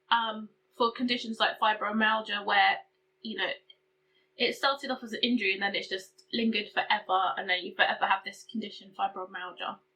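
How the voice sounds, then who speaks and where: A woman speaks in a British accent at a fairly high pitch. Her pace is fairly quick and her intonation fairly even. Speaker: beauty and chronic illness vlogger. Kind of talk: casual vlog update. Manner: hesitant, filler-heavy.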